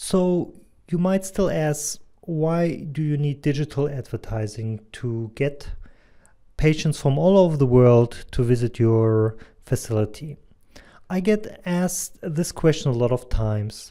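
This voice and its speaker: In a German accent, this dark, mellow voice moves at a fairly slow pace with lively intonation. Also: man, fairly high pitch for a man. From Germany, near Hanover. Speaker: digital advertising consultant and medical doctor. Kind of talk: presentation.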